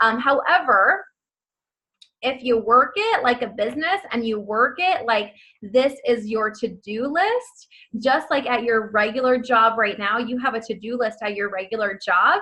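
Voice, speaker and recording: A woman's bright, sharp, animated tone at a fairly slow pace. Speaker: network marketing team leader. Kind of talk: motivational training call.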